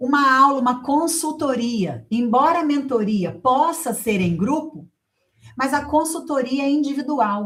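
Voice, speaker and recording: A woman's high-pitched, animated voice with a Brazilian accent. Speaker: writing teacher. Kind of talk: online class with sales pitch. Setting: online class.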